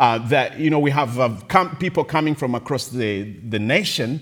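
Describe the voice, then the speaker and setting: A man with a non-native accent talks at a moderate pace. His pitch is medium, with ordinary variation. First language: not English. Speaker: evangelist. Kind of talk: testimony. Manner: halting, laughs often.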